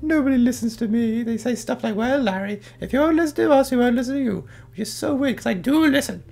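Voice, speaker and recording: A put-on character voice with fairly high pitch rattles along at a very fast pace. Light background noise sits underneath. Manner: defensive, self-centered, denies loudly.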